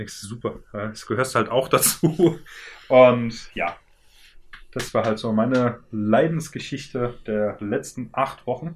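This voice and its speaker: Very slow male speech at a medium pitch, its pitch moving in an ordinary way. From Germany, Worms. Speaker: podcast co-host. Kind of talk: casual chat.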